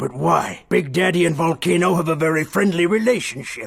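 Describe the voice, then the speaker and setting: A raspy, put-on character voice at a moderate pace. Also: man, high pitch for a man. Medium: fan dub. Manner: dismissive.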